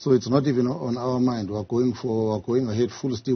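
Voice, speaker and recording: A man talks at a fairly quick pace with fairly even intonation. His voice is somewhat breathy. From South Africa. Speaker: political party official; interviewee. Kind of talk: tv news interview. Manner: halting, repeats words. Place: studio.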